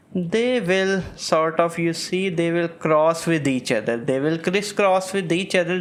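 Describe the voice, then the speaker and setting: A man with a non-native accent and a high pitch, at a fairly slow pace with hardly any pauses, amid audible room echo. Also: very even loudness. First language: not English. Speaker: medical lecturer. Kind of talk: lecture. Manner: hesitant, with fillers.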